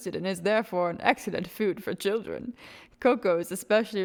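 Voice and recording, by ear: Here the speaker is reading aloud. It is reading aloud in a natural voice.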